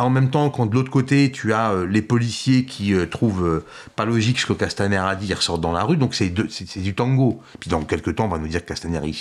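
The speaker is a man with a fairly low pitch. He keeps a fairly quick pace. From Algeria. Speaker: community association director. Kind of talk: casual interview. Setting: studio. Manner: halting, repeats words.

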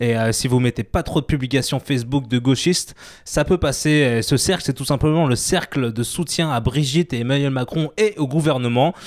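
This man talks at a moderate pace. His pitch is medium, with ordinary pitch variation. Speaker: radio show co-host. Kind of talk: casual radio chat. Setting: radio studio. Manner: put-on southern accent for chef bit.

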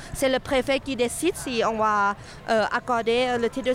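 Her pitch high, a woman speaks with a non-native accent. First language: not French (speaking French). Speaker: sex workers' rights activist. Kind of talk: street interview.

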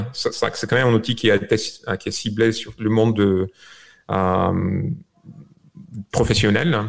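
A man with a fairly low voice and fairly even intonation speaks very slowly, with long, frequent pauses. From Bulgaria. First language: Bulgarian (speaking French). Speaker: software creator. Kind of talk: remote interview. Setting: video call from home.

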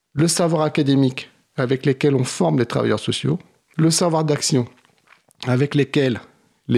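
A man speaks at a fairly slow pace and medium pitch, with vocal fry and ordinary pitch variation. The sound is dry and close with no echo. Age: 50s. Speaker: social work trainer and author. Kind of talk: radio interview.

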